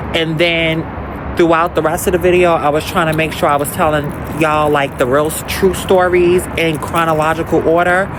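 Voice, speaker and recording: A woman with an American accent speaks at a moderate pace and fairly low pitch, in a monotone, flat intonation. Audible room echo and noticeable background noise surround her voice. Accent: New York accent, thick when irritated. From New York. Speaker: lifestyle vlogger. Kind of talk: casual vlog chat. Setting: outdoors on a rooftop.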